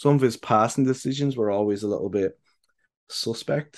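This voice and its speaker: A man with an Irish accent speaks fairly quickly at a medium pitch with ordinary pitch variation against a quiet background. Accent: Irish, light lilt. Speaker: podcast host, football fan. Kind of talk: casual chat about football. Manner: halting, many fillers.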